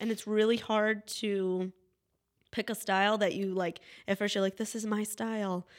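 A woman with an American accent at medium pitch, monotone and flat, at a moderate pace in a very clean recording with a silent background. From Wellsville area, US. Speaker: photographer. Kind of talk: casual chat.

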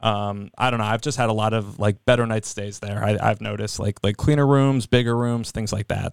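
In a plain, everyday voice, a man with an American accent talks at a fairly low pitch and a fairly quick pace. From New Jersey. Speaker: hotel industry worker. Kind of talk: casual chat. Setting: studio.

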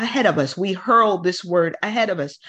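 A woman speaks in an ordinary speaking voice at a moderate pace. Her pitch is medium. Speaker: prayer call leader and minister. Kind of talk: fervent prayer and decrees, praying aloud over a group. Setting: phone call. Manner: fervent, commanding and declarative.

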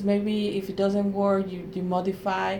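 A woman with a Spanish accent speaks at a fairly slow pace in a medium pitch, with noticeable background noise. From Mexico. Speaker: Spanish professor. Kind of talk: interview. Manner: halting.

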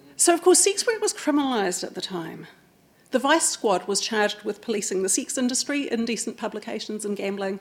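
A woman's fairly high voice in a New Zealand accent, fairly quick and full of very wide pitch swings. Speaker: oral historian. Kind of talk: public talk. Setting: stage with audience.

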